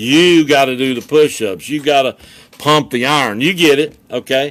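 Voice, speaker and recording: Using an animated tone and ordinary pitch variation, a man with a fairly high voice speaks at a moderate pace. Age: 60s. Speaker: motivational coach. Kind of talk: motivational talk. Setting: social media video. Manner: halting repetitions.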